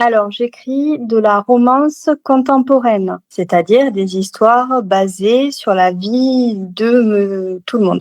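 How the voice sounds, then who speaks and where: In a Toulouse accent, a woman speaks at a very slow pace, her pitch fairly high with ordinary variation. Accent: southern French (Toulouse). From Toulouse, southern France. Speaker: novelist. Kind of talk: interview answer.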